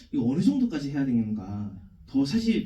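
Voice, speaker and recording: Heard with audible room echo, a man's dark, mellow, somewhat breathy voice moves through very wide pitch swings. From South Korea, Daegu. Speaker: film director. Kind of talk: Q&A answer at film screening. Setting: cinema stage with audience.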